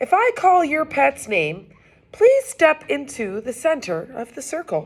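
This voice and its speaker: A woman puts on a character voice at a high pitch, going at a fairly slow pace with big swings in loudness. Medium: read story. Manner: upbeat, announcer-like.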